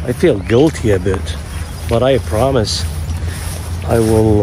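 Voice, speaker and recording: A man speaks over noticeable background noise. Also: dry sound with no echo. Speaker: fishing vlogger. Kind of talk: casual vlog chat. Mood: nervous, apologetic. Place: open country. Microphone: phone near.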